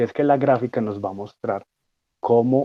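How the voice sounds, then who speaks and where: Against a quiet background, a man with a dark, mellow tone talks at a fairly slow pace, the sound dry and close with no echo. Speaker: student lecturer on physiology. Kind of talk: lecture.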